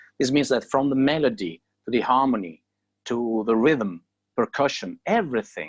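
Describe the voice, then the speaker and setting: This man has an Italian accent. He speaks at a moderate pace. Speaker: a cappella singer. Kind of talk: interview. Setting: video call from home.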